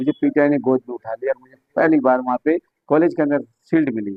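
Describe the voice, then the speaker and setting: A man's fairly high pitch with ordinary pitch variation, in an ordinary speaking voice. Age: 60s. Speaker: yoga teacher. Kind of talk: interview.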